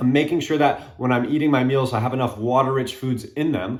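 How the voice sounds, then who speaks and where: A man at a fairly quick pace and medium pitch, with audible room echo. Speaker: fitness coach. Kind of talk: casual talk to camera. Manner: fast.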